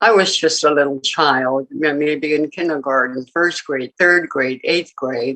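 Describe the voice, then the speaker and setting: A woman's very deep, low voice has a bright, sharp tone. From Alaska, Utqiagvik (Barrow). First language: Inupiaq. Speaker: award honoree. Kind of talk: acceptance speech. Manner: halting, many fillers.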